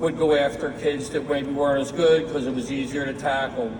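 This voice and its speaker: The speaker has a New Jersey accent and a fairly quick pace. Noticeable background noise and audible room echo are present. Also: man. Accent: harsh Jersey. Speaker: youth football coach. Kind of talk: award acceptance speech. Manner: conversational, animated.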